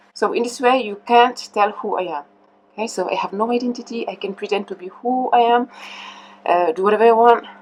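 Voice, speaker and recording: Over noticeable background noise, a woman speaks at a fairly quick pace in a fairly high pitch. Her pitch variation is ordinary, with big swings in loudness. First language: French. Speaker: mask maker. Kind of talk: interview explaining history. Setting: mask workshop. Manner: hesitant with filler sounds.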